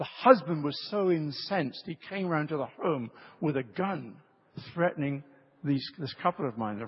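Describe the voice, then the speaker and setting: A man's voice is somewhat breathy and fairly high in pitch. His intonation is lively. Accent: British. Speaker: preacher. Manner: storytelling, engages audience with questions.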